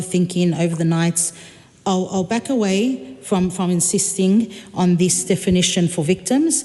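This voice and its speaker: With a non-native accent, a woman speaks at a medium pitch and a moderate pace. Her pitch varies in an ordinary way, over noticeable background noise. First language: not English. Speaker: member of parliament. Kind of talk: parliamentary debate. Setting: parliament chamber. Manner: halting, many fillers and repetitions.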